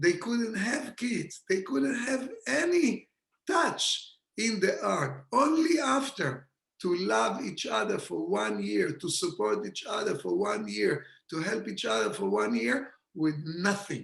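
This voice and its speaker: A man speaks at a very slow pace. He talks with an Israeli accent. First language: Hebrew. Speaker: kabbalah teacher. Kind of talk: lecture. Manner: animated.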